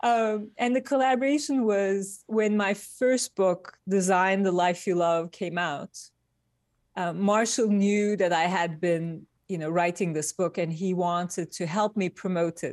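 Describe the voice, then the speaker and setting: A woman with a Turkish accent, at a fairly slow pace. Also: medium pitch for a woman, ordinary pitch variation. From Turkey. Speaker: industrial designer. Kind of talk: interview. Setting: remote call from Midtown New York.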